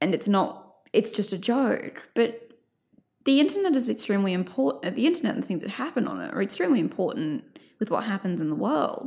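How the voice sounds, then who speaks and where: An Australian woman with an Australian accent talks at a fairly quick pace and fairly high pitch, her pitch swinging very widely, with vocal fry. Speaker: journalist and culture writer. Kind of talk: casual interview.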